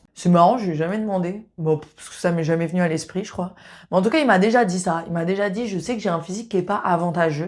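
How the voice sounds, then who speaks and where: A woman speaks at a very fast pace with ordinary pitch variation. The recording is very clean, with a silent background. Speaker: sex therapist and video host. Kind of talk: casual monologue to camera. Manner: casual, hesitant with fillers.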